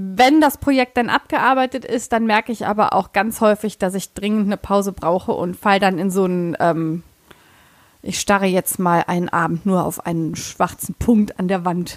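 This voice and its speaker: A woman with a plain, everyday voice talks at a moderate pace and medium pitch with ordinary pitch variation, the sound dry and close with no echo. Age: 30s. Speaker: sewing blogger and pattern designer. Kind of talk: casual chat.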